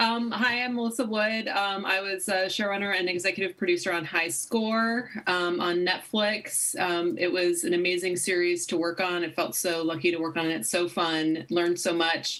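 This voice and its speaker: A woman with an American accent talks at a moderate pace and medium pitch, with ordinary pitch variation and hardly any pauses. Her loudness stays very even over noticeable background noise. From Michigan. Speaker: TV showrunner and executive producer. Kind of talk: interview on video call. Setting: video call.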